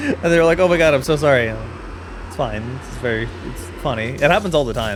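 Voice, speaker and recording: Very fast speech in an American accent, with long, frequent pauses and very wide pitch swings. Loudness swings a lot, over noticeable background noise and audible room echo. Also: man, medium pitch for a man. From US Pacific Northwest. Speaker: gaming streamer. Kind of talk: live gameplay commentary. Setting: live stream. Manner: casual, chatty.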